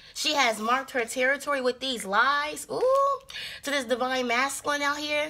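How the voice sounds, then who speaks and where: A woman's raised, projected voice with ordinary pitch variation. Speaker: tarot reader. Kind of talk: casual tarot reading commentary. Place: home room. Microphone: phone near.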